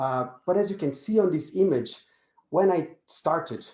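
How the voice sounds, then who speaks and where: The tone is dark and mellow. Intonation moves in a lively way. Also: man. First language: not English. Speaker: positive psychology speaker. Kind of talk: webinar presentation. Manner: halting.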